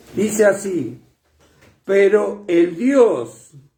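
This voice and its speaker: Audible room echo surrounds a man with a high pitch. His pitch variation is ordinary. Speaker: preacher. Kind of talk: sermon. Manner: loud; soft-spoken usually.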